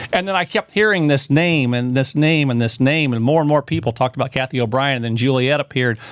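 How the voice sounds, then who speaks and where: A man speaks at a fairly quick pace with lively intonation in a plain, everyday voice. The sound is dry and close, with no echo. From rural America. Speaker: podcast host. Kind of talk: podcast interview.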